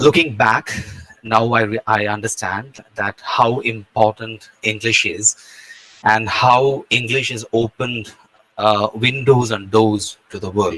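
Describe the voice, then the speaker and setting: In a dry, close sound with no echo, a man with a non-native accent speaks very slowly at a fairly low pitch with fairly even intonation. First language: not English. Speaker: guest speaker. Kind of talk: lecture. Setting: video call.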